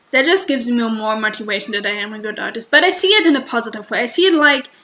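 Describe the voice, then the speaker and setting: Speaking with a German accent at a very fast pace, a woman uses a high pitch and lively intonation. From Germany. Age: 20s. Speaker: streamer and artist. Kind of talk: casual livestream chat. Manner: halting.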